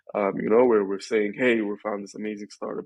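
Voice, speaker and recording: The speaker talks at a fairly quick pace with an Arabic accent. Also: man. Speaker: venture capital investor. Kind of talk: podcast interview. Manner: hesitant, many fillers.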